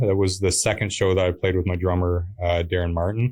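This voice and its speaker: Fairly quick speech on a very clean recording with a silent background. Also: man. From Pembroke, Ontario, Canada. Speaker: musician. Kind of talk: interview. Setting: studio. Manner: hesitant with many fillers.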